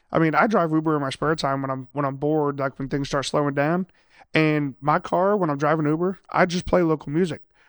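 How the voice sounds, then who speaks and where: In an American accent, a man with an unremarkable speaking voice talks at a fairly quick pace and fairly high pitch, with fairly even intonation and a dry, close sound with no echo over a quiet background. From Ohio (Lima). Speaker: music promoter and booker. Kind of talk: casual chat.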